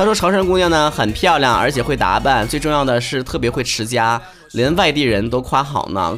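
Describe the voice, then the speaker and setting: A man speaks with a fairly high pitch and lively intonation. Music plays in the background. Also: hardly any pauses. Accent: Northeastern Chinese. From Northeast China. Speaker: podcast host. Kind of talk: casual solo talk reading listener messages. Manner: animated, joking.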